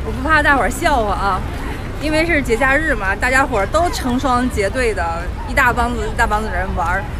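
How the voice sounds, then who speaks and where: A woman at a moderate pace over clear background music, in a dry sound with no echo. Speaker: travel vlogger. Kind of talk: casual vlog chat. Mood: cheerful, self-amused. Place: street. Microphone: phone near.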